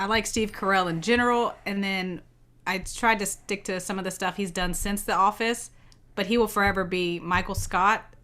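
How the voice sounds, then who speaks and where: In a strong Southern accent, a woman with a bright, sharp tone and medium pitch speaks at a moderate pace with fairly even intonation over a very clean, silent background. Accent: heavy Southern. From US South, Savannah Georgia. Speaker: podcast co-host, homeschooling parent. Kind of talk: casual chat.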